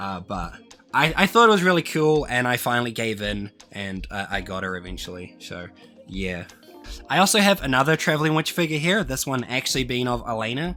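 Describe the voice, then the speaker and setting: A man speaks at medium pitch with very wide pitch swings. There is music in the background. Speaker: anime figure collector. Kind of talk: casual talk to camera.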